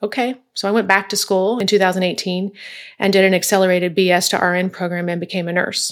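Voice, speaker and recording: A woman speaks at a very fast pace in a medium pitch. Her intonation is monotone and flat. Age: 40s. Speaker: consultant and coach, former police officer. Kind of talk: interview.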